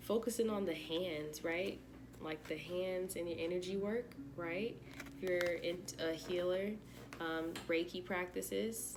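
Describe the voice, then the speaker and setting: Fairly slow female speech, fairly low in pitch, with some audible echo from the room. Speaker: tarot reader. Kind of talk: tarot reading. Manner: monotone; flat.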